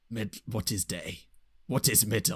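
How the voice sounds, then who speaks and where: A man puts on a character voice at medium pitch. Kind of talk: broken, primitive speech. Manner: dim, comic.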